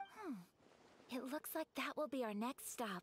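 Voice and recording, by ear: A woman uses a put-on character voice, high in pitch with a slightly husky edge. Her pitch swings widely as she talks at a fairly slow pace.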